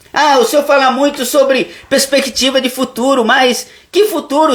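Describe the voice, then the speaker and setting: A man speaks at a moderate pace with an extremely high-pitched voice. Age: 60s. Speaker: pastor. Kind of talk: sermon. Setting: live stream.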